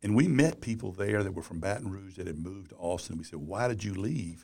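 Vocal fry colors this man's fairly low voice. His intonation is lively and his pace moderate. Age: 60s. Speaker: business journalist and former publisher. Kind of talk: interview.

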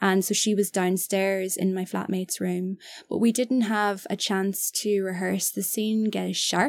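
A woman with an Irish accent speaks at a fairly slow pace in a medium pitch. Her intonation is monotone and flat, in a very clean recording with a silent background. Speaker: actor and film director. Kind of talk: casual chat. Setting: studio.

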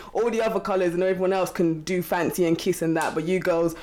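A woman's very fast speech with fairly even intonation over music in the background. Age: 20s. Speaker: quantity surveyor. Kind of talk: casual chat.

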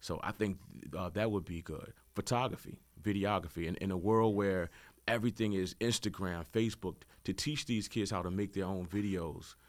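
The speaker uses a normal speaking voice with an American accent at a moderate pace, on a very clean recording with a silent background. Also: man, fairly low pitch for a man, ordinary pitch variation. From Richmond, Virginia (Southside). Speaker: DJ. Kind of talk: radio interview.

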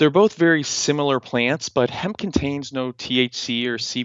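With an unremarkable speaking voice, this man holds a medium pitch, ordinary pitch variation and a moderate pace. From Canada, Nova Scotia (Halifax). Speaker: entrepreneur. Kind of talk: interview.

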